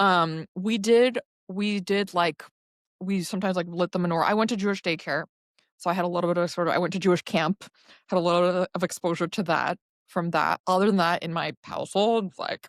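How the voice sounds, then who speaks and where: An ordinary speaking voice moves at a fairly quick pace with fairly even intonation, recorded very clean with a silent background and a dry, close sound with no echo. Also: woman, medium pitch for a woman. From Chicago, US Midwest. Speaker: poet. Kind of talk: interview conversation. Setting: podcast interview. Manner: frequent fillers like um.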